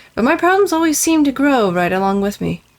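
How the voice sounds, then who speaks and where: In a put-on character voice, the speaker talks very fast, high-pitched and gruff, with very wide pitch swings. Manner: muttering.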